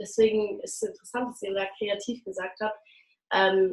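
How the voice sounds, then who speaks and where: Fairly high and somewhat breathy, a woman's speech at a moderate tempo. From Berlin, Germany. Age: young. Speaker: actress and singer. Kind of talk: interview.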